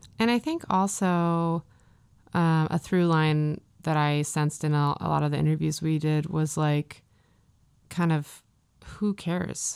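With an American accent, a woman speaks at a fairly slow pace in a very deep, low pitch, leaving long, frequent pauses on a very clean recording with a silent background. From US Midwest. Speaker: podcast host. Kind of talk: casual chat.

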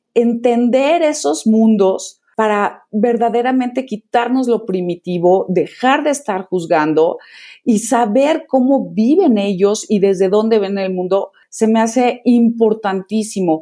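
A woman's fairly high, dark, mellow voice at a very slow pace, with lively intonation and hardly any pauses. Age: 50s. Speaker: digital publisher and app founder. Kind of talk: interview.

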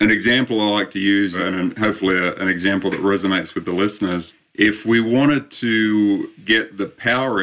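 With an Australian accent, a man speaks at a fairly low pitch in a bright, sharp tone, recorded very cleanly against a silent background. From Australia, Sydney. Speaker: endurance coach and sports scientist. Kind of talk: interview.

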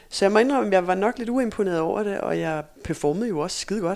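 A woman talks at a very fast pace with ordinary pitch variation. The recording is very clean, the background silent. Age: 40s. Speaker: former sprinter and running coach. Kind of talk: casual interview. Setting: in person recording.

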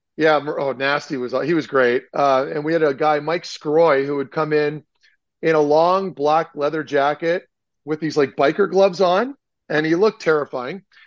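A man with a Canadian accent talks in a normal speaking voice at a fairly high pitch. His pace is moderate and his intonation fairly even, against a quiet background. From Ottawa, Canada. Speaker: former hockey player. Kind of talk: casual chat.

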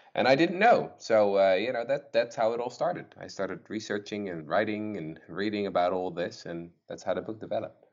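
With a Dutch accent, a man talks at a fairly quick pace and fairly low pitch, with lively intonation, big swings in loudness and hardly any pauses. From Netherlands. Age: 20s. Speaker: author and historian. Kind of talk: interview.

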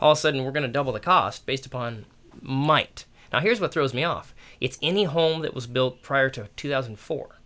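At a fairly quick pace, a man speaks with a bright, sharp tone at a fairly high pitch, with ordinary pitch variation. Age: 40s. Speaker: real estate agent and coach. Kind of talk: casual chat.

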